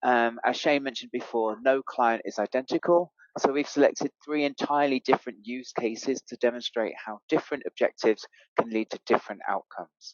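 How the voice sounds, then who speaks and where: The speaker has a British accent and talks at a fairly quick pace. Pitch varies in an ordinary way. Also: man, medium pitch for a man. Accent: British, Queen's English. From Europe. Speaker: fleet and mobility expert. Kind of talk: webinar presentation.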